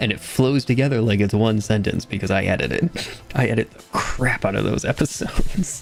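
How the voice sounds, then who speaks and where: A man speaks at a medium pitch and moderate pace with lively intonation and hardly any pauses. His loudness swings widely, with music in the background. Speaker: gaming streamer. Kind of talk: live stream commentary. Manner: halting.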